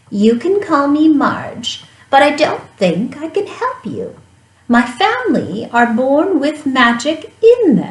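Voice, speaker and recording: A woman uses a put-on character voice, croaky and high-pitched, at a fairly slow pace. Her pitch swings very widely. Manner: friendly, regretful.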